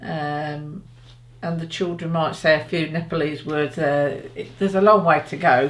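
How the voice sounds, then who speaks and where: The pace here is moderate. It is spoken with an English accent. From England. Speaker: parent in interview. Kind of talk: interview. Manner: halting.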